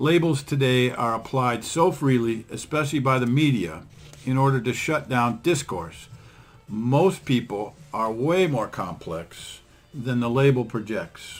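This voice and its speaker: An ordinary speaking voice, with lively intonation. The delivery comes at a fairly slow pace. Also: man, medium pitch for a man. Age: 60s. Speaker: podcast host, attorney. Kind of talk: casual podcast chat.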